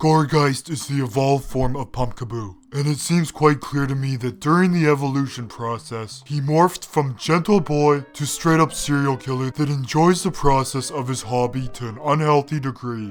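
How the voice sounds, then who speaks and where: Putting on a cartoonish character voice, a man talks at a fairly high pitch. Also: moderate pace. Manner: dry, sarcastic.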